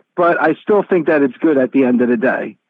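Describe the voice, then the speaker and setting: Here a man with an unremarkable speaking voice talks at a moderate pace, his fairly high pitch carrying lively intonation. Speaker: wrestling radio host. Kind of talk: interview. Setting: remote call.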